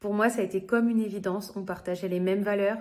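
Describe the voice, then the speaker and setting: Monotone, flat intonation from a woman at medium pitch. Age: 30s. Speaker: direct sales consultant. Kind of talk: interview testimony. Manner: hesitant, many fillers.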